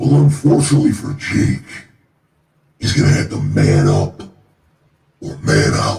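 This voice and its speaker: A man speaks at a moderate pace in a put-on character voice, his pitch fairly high, with long, frequent pauses. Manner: scary, menacing.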